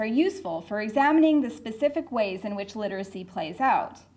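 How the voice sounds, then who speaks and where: A woman with a Canadian accent speaks at a fairly high pitch and a fairly quick pace, her pitch swinging very widely. Noticeable background noise runs underneath. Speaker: professor. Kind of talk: lecture.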